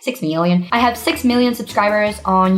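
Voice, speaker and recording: In an American accent, a woman speaks at a medium pitch and moderate pace with ordinary pitch variation, while noticeable background noise and audible room echo fill the recording. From South Africa. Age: 20s. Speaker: social media content creator. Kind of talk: casual chat.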